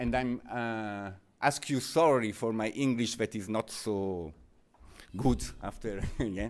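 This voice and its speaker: This is a man talking. He speaks with an Italian accent. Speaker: researcher presenting findings. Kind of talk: conference presentation. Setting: seminar with audience. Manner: halting.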